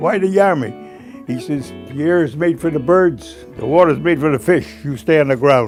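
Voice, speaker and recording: With music in the background, a man talks at a moderate pace and fairly high pitch, using lively intonation. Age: 80s+. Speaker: war veteran. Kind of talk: interview answer.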